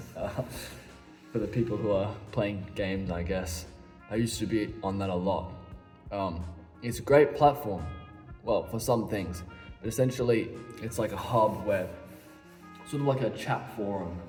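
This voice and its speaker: With an Australian accent, a man speaks at a moderate pace and a fairly low pitch with ordinary pitch variation, leaving long, frequent pauses while music plays in the background. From Western Australia. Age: young. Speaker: violinist. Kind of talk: casual talk to camera.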